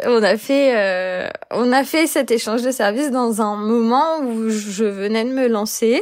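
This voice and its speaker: Speaking at a very slow pace, a woman keeps a fairly high pitch with ordinary variation. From France, Lyon. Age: 20s. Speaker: community manager sharing anxiety experience. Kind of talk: personal testimony interview. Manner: hesitant, many fillers.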